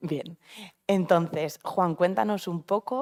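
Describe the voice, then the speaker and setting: A woman with a fairly low voice speaks at a very slow pace, in a dry, close sound with no echo. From Spain, Vitoria (Basque Country). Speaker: oncologist, panel moderator. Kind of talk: panel discussion at a live event. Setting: event venue with live audience.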